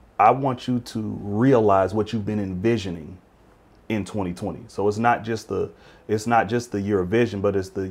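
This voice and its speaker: The voice is a normal speaking voice at a moderate pace. Its intonation stays fairly even. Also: man. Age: 40s. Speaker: school administrator and pastor. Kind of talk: interview.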